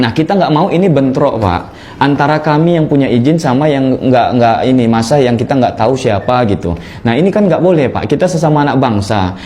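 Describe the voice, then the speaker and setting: Against noticeable background noise, a man with a Malay accent talks at a fairly quick pace with lively intonation. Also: medium pitch for a man, very even loudness. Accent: sounds Malay. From North Sumatra (Batak). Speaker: protest representative. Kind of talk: formal statement at a meeting with officials. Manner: earnest, insistent.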